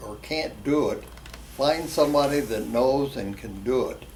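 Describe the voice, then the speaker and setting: A man speaks fairly slowly at a medium pitch. There is audible room echo and noticeable background noise. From West Virginia. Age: 80s+. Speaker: drag racer. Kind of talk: interview.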